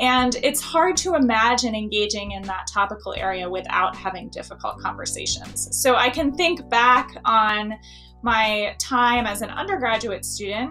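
A woman speaks with ordinary pitch variation while faint music plays in the background. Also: moderate pace. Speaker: university teacher. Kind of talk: interview answer. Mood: warm, thoughtful. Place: office. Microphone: webcam.

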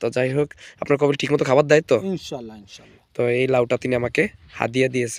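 A man speaks at a medium pitch in a monotone, flat intonation. The sound is dry and close, with no echo. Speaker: video blogger. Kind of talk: casual vlog chat.

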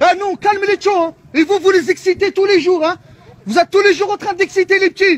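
This man's voice is loud and extremely high-pitched, with fairly even intonation, a fairly quick pace and a dry sound with no echo. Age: 30s. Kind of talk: heated confrontation. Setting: outdoors. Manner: fast. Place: street. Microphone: phone near.

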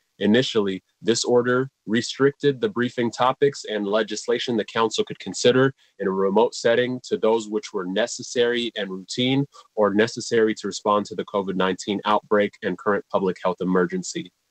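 Against a quiet background, a man talks with hardly any pauses in a dry sound with no echo. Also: ordinary pitch variation, fairly quick pace. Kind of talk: formal meeting opening. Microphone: webcam.

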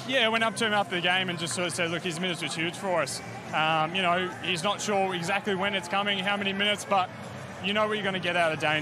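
A high-pitched man speaks at a very fast pace with fairly even intonation. The sound is dry with no echo, and the background noise is noticeable. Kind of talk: interview answer. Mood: pleased after a win. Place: stadium. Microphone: handheld.

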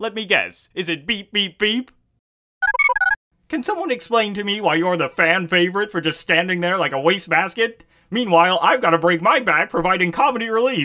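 A cartoonish character voice sits at a middle pitch. It moves at a moderate pace. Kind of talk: cartoon comic voice acting. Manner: prissy, fussy, exasperated.

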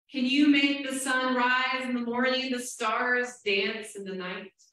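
A woman's fairly high, bright and sharp voice with lively intonation and strong room echo. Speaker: Presbyterian minister. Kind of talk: church sermon. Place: church.

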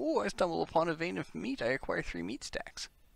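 A man's husky, put-on character voice at a fairly quick pace. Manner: gruff, playful.

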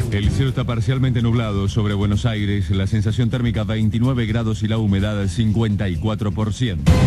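Over loud background noise, a man talks at a fairly quick pace with hardly any pauses, in a dry sound with no echo. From Argentina. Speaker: radio newsreader. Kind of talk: radio news bulletin. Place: studio.

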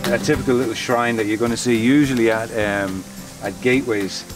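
Clear music plays behind a man speaking at a moderate pace, and the sound is dry with no echo. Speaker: travel vlogger. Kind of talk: casual vlog chat. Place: street.

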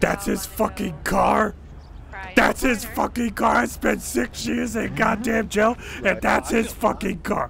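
A man uses a put-on character voice at a fairly slow pace over clear background noise. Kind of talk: comic overacting. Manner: jittery, rambling, paranoid.

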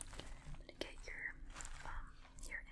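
Over noticeable background noise, a woman talks at an extremely high pitch. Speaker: beauty vlogger. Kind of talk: casual vlog chat, product tutorial. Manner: soft, gentle ASMR speaking voice. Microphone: phone near.

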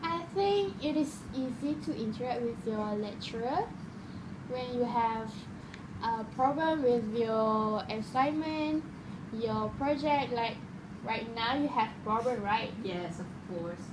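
Noticeable background noise sits behind a woman who speaks at a very slow pace. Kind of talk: casual conversation practice. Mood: relaxed, some laughing. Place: home room. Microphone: phone near.

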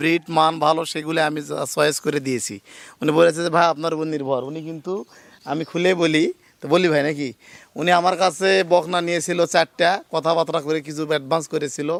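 A man with an ordinary speaking voice speaks at a fairly high pitch with fairly even intonation. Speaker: dairy farmer and cattle seller, channel host. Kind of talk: casual vlog with customer interview and sales talk.

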